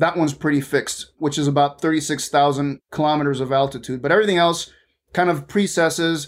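A fairly high-pitched man with fairly even intonation, at a very fast pace. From Venezuela (Caracas). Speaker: aerospace engineer, space debris expert. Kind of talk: interview.

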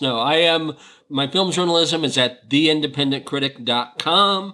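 An unremarkable speaking voice from a man, fairly high in pitch, at a moderate pace with lively intonation. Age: 50s. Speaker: film critic. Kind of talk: casual film discussion.

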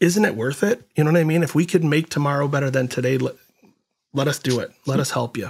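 A man's fairly high, somewhat breathy voice at a very fast pace, with ordinary pitch variation. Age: 50s. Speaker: podcast host. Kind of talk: interview.

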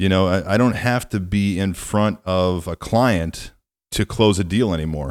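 A man with a plain, everyday voice, fairly low in pitch, at a fairly slow pace with ordinary pitch variation. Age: 40s. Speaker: podcast host, staffing business owner. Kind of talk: interview. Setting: remote call.

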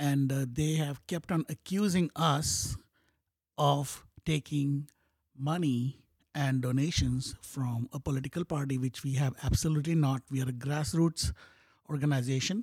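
Somewhat breathy speech with ordinary pitch variation comes at a fairly slow pace in a dry, close recording with no echo. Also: man, fairly high pitch for a man. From Bahrain, Indian heritage. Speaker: school board candidate. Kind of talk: casual interview.

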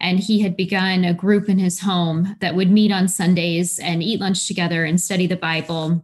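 A woman with an American accent speaks in a medium pitch, somewhat breathy and with monotone, flat intonation, barely pausing. The recording is very clean, with a silent background. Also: moderate pace. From Missouri, US Midwest. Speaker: missionary. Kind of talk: casual interview.

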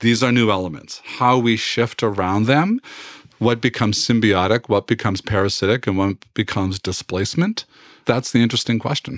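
At a fairly quick pace, a man with an unremarkable speaking voice talks at medium pitch with ordinary pitch variation and very even loudness, in a very clean recording with a silent background and a dry, close sound with no echo. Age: 60s. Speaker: university president. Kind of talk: interview.

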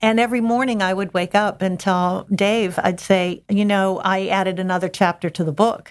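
A woman with an unremarkable speaking voice, medium pitch, fairly even intonation and an American accent, hardly any pauses, on a very clean recording with a silent background. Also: moderate pace. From Pittsburgh, Pennsylvania area. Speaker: novelist. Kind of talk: interview.

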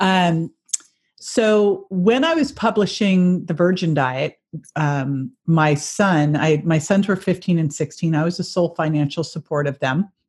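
Against a quiet background, a somewhat breathy voice with an American accent speaks at a fairly slow pace. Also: woman, fairly low pitch for a woman, ordinary pitch variation. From Northern California (Berkeley). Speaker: health and fitness expert, author. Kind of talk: interview.

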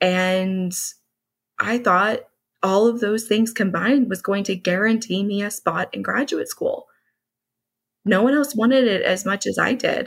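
In a very clean recording with a silent background, a woman with a medium-pitched, somewhat breathy voice and ordinary pitch variation speaks at a fairly slow pace with long, frequent pauses. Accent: American. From US, Dallas, Texas. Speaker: HR consultant and business owner. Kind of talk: interview.

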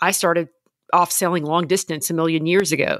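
In a very clean recording with a silent background, a woman speaks at a moderate pace with an American accent. Her pitch is fairly low, and she has a normal speaking voice. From Louisiana, US South. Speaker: podcast host and confidence coach. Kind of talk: interview.

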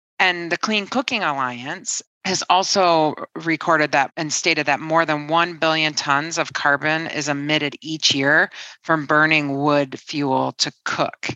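A woman with a Midwestern American accent, very deep and low in pitch, bright and sharp in tone, at a fairly slow pace with fairly even intonation, in a dry, close sound with no echo over a quiet background. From Detroit, Michigan. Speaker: climate company CEO and engineer. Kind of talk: interview.

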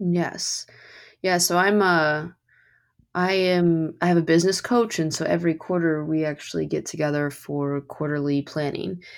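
A woman's plain, everyday voice in an American accent, fairly low in pitch, at a moderate pace with fairly even intonation, on a very clean recording with a silent background. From Kentucky, US. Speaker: podcast host. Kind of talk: podcast interview.

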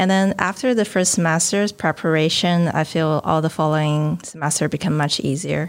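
A woman speaks in a Chinese accent, her fairly low pitch showing ordinary variation. The recording is very clean, with a silent background. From China. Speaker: PhD student. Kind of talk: casual interview.

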